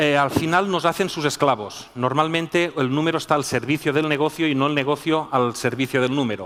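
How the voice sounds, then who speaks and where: A man with a fairly high pitch and ordinary pitch variation, very even loudness, a fairly quick pace, and hardly any pauses. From Spain. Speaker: business school professor. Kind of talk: conference talk. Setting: stage with audience.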